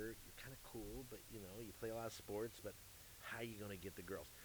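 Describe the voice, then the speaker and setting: Using a Midwestern American accent, a man speaks at medium pitch with a bright, sharp tone. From US Midwest, St. Louis, Missouri. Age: 50s. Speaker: music manager and entertainment executive. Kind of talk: casual chat. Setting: live at a jazz club. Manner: halting, repeats words.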